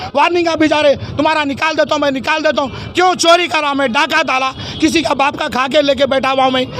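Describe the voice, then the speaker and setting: A man speaks at an extremely high pitch with fairly even intonation. Noticeable background noise runs behind him. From Hyderabad, India. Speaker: shopkeeper. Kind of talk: complaint to media. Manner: halting.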